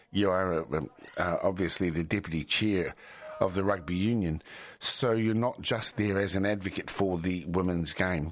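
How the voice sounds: Delivery moves at a moderate pace with few pauses. Pitch variation is ordinary. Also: man, low pitch for a man.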